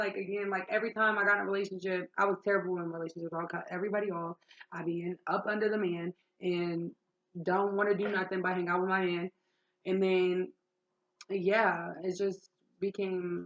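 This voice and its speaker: This loud woman speaks at a medium pitch and a fairly quick pace. Her intonation stays fairly even. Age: 20s. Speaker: vlogger sharing life story. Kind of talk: personal testimony. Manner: talkative, casual.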